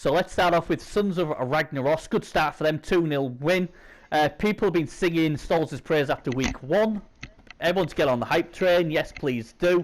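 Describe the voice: A man with a fairly high pitch speaks at a moderate pace, using ordinary pitch variation.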